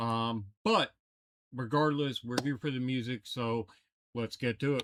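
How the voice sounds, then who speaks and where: A man speaks at a fairly slow pace with a medium pitch and fairly even intonation. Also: dry, close sound with no echo. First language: Italian. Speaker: metal guitarist reacting to music. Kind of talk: reaction video commentary. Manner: casual, hesitant with fillers.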